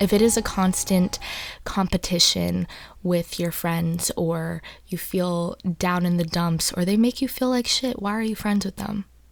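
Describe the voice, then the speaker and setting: A soft-spoken voice at a fairly slow pace with music in the background. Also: woman. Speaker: ASMR content creator. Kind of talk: casual talk to camera, advice discussion.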